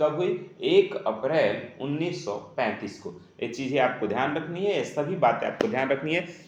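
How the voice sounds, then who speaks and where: A man puts on a hoarse, raspy character voice pitched fairly high. He moves at a moderate pace with lively intonation. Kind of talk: teaching a class.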